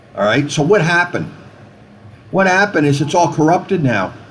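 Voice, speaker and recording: An animated man with a fairly high pitch and an American accent, over noticeable background noise. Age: 60s. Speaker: chaplain and healthcare activist. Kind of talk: video message monologue.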